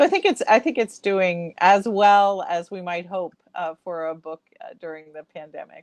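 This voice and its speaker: Speaking with an American accent, a woman has an unremarkable speaking voice at medium pitch, with lively intonation, big swings in loudness, a moderate pace, and a dry, close sound with no echo. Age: 60s. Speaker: author. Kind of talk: interview.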